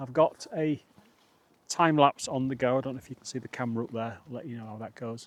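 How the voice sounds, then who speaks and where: A man's medium-pitched voice with a Yorkshire accent. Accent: northern English (Yorkshire). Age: 50s. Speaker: outdoor vlogger. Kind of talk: casual vlog narration. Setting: outdoors, wild camp on moorland. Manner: halting, lots of fillers.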